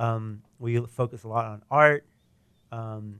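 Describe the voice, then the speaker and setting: A man talks with an American accent on a very clean recording with a silent background. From Texas, Houston area (Katy). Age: 40s. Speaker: restaurant co-founder. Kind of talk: casual interview.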